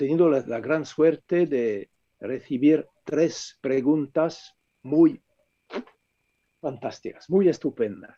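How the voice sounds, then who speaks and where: A man with a French accent speaks very slowly in a fairly high voice with a dark, mellow tone, pausing long and often, the sound dry and close with no echo. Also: ordinary pitch variation. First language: French (speaking Spanish). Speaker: author, philosopher. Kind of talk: book presentation talk.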